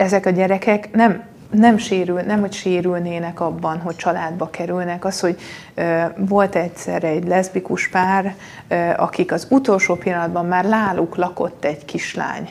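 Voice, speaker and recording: At a moderate pace, a woman speaks with medium pitch and monotone, flat intonation. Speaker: politician. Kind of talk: debate.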